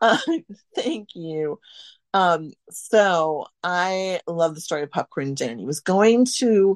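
A woman with an American accent and a normal speaking voice talks at a fairly low pitch with lively intonation. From US Midwest, central Wisconsin. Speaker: food historian and author. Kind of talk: casual interview. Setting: remote call.

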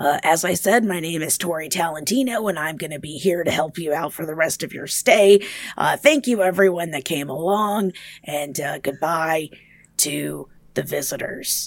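Raspy put-on character voice at a middle pitch and moderate pace. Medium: actual play. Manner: brisk, cheerful.

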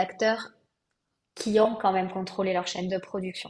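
Somewhat breathy, a woman at medium pitch speaks at a moderate pace in a monotone, flat intonation. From southwest France. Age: 30s. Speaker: eco-fashion brand founder. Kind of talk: podcast interview.

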